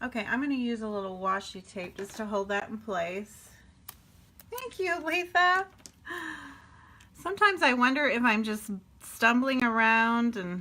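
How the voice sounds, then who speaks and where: A woman's fairly high voice at a fairly slow pace, with lively intonation, big swings in loudness, and long, frequent pauses. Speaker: paper craft teacher. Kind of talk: live stream tutorial. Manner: casual, chatty.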